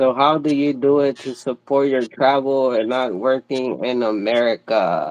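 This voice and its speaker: A man with a Mexican accent speaks at a medium pitch and a moderate pace. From Mexico. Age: 30s. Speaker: vlogger. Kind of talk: casual chat. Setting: livestream. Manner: animated.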